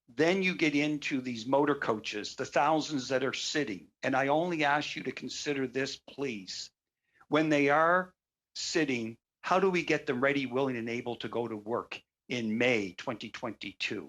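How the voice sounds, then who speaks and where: In a Canadian accent, a man uses a normal speaking voice at a moderate pace, fairly high in pitch with ordinary pitch variation, on a very clean recording with a silent background. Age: 60s. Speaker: bus company owner. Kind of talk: committee testimony. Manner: formal.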